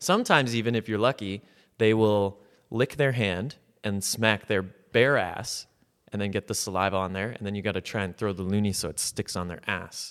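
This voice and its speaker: On a very clean recording with a silent background, a man with a plain, everyday voice speaks at a fairly low pitch and moderate pace with fairly even intonation. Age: 20s. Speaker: comedian. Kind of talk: casual chat.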